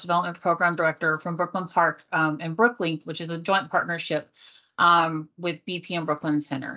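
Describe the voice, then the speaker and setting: A bright, sharp tone against a quiet background. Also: woman. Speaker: workforce strategy consultant, moderator. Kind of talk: panel moderation. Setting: video call.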